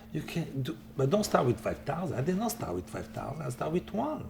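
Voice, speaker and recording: A man with an Italian accent talks at a fairly quick pace over noticeable background noise. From Italy. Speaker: chef and philanthropist. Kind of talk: interview.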